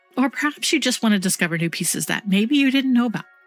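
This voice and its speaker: Intonation here is lively. Music sits in the background. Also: woman. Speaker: gaming content creator. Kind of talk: casual talk to camera.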